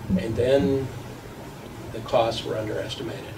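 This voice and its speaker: A man's medium-pitched voice with an American accent, audible room echo and noticeable background noise. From Texas. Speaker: pediatrician. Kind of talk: public testimony speech. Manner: animated.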